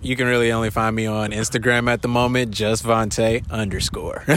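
A man with an American accent talks at a medium pitch in a monotone, flat way. He barely pauses, and noticeable background noise sits under his voice. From Detroit. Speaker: rapper. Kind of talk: casual interview. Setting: live music event.

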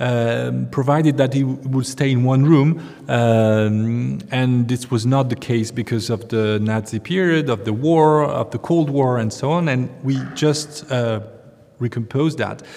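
Over noticeable background noise, a man with a French accent speaks fairly slowly at a medium pitch, with ordinary pitch variation. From France. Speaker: museum curator. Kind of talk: interview. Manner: halting, many fillers.

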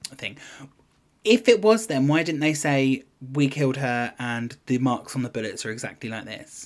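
Here a man with a British accent speaks in a fairly high pitch and lively intonation. His pace is moderate, and his loudness swings widely. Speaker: podcast co-host. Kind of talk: casual chat.

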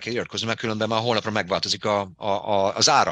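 A man's bright, sharp voice at medium pitch and a very fast pace, on a very clean recording with a silent background. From Hungary, Debrecen. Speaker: fitness business owner. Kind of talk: interview. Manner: halting.

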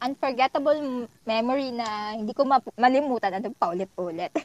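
A woman speaks with lively intonation. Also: dry, close sound with no echo. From Philippines, Laguna province. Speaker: podcast guest, office worker. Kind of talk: casual chat. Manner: animated.

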